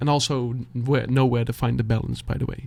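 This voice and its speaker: A man with a Dutch accent talks at a fairly quick pace, his medium pitch carried by fairly even intonation. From Netherlands. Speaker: beatboxer and music reaction youtuber. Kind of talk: heartfelt motivational talk to camera. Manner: halting, searching for words.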